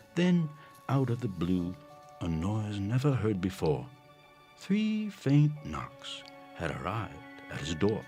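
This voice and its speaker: A man's fairly low voice at a very slow pace, with very wide pitch swings, long, frequent pauses and music in the background. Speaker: voice actor. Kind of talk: rhyming story narration for animation. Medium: cartoon.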